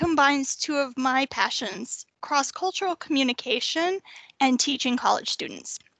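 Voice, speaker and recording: A woman with an American accent, high-pitched, with a bright, sharp tone, a raised, projected voice and lively intonation, at a moderate pace in a dry, close sound with no echo. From North Texas. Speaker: university staff presenter. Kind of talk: workshop presentation.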